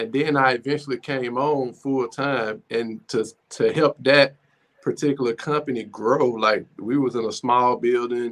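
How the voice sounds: A man's medium-pitched, fairly bright voice with fairly even intonation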